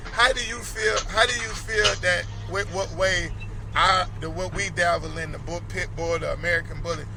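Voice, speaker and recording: With noticeable background noise and audible echo from the room, a man talks at a moderate pace. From Valdosta, Georgia. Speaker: dog talk radio host. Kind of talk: radio interview.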